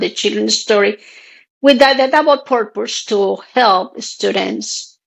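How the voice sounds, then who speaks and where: A woman speaks with a Spanish accent. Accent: Spanish accent, noticeable. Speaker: author. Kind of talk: interview.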